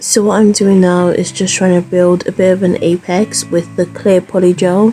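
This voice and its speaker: Over background music, a woman speaks at a moderate pace in a medium pitch, her loudness very even and her intonation flat and monotone. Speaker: nail hobbyist. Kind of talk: casual talk to camera.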